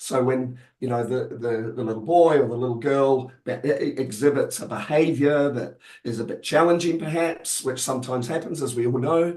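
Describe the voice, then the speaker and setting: Moderate pace and medium pitch from a male speaker, with ordinary pitch variation. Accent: New Zealand. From New Zealand. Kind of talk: webinar discussion. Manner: halting, many fillers.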